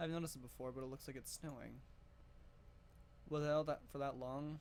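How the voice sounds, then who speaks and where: A man mumbling at a medium pitch and a fairly quick pace. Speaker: gaming youtuber. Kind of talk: reading aloud game text with commentary.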